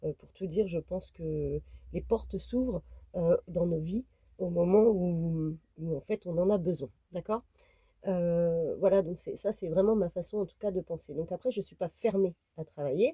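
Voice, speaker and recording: A woman speaks at a fairly slow pace in a fairly low, somewhat breathy voice with a dark, mellow tone. Her loudness swings widely, her pitch varies in an ordinary way, and the sound is dry and close with no echo. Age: 30s. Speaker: vlogger. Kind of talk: casual vlog talk to camera. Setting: inside a camper van. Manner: hesitant, many fillers.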